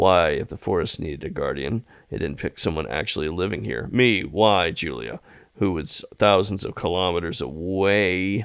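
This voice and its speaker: A man puts on a character voice, very deep and low-pitched. It is raspy and comes at a moderate pace. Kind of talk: dramatic visual novel reading. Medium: read story. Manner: unpolished reading, joking asides.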